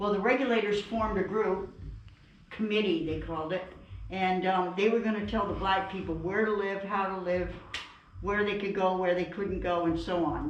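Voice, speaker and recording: A woman speaks at a moderate pace and medium pitch, with fairly even intonation. Audible room echo and noticeable background noise are present. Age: 70s. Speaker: museum tour guide. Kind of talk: guided tour talk. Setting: inside historic house museum.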